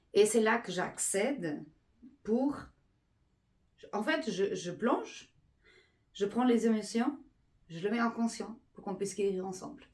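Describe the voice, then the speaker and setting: A woman speaks at a very slow pace with long, frequent pauses, her pitch fairly high. Her voice is somewhat breathy, with ordinary pitch variation and big swings in loudness. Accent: Portuguese. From Portugal. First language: Portuguese (speaking French). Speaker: energy healer. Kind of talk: explanatory monologue. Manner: halting with fillers.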